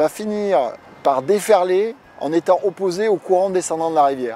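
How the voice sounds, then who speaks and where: Over noticeable background noise, a man with a high voice talks at a moderate pace with ordinary pitch variation. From France, Dordogne (southwest). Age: 40s. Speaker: surfer. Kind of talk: interview. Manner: hesitant, many filler sounds.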